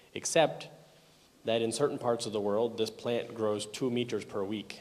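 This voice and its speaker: A man with a Canadian accent, medium pitch and fairly even intonation, with audible room echo. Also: moderate pace. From Canada. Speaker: software conference speaker. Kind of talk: technical conference talk. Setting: conference hall with audience.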